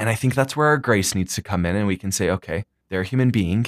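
A man's normal speaking voice, fairly low in pitch, at a fairly quick pace, with a dry, close sound with no echo and a very clean recording over a silent background. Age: 20s. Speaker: student body president. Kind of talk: casual chat.

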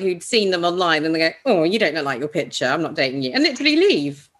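A woman speaks in a British accent with vocal fry. Her pitch swings very widely. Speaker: podcast co-host. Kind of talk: casual chat.

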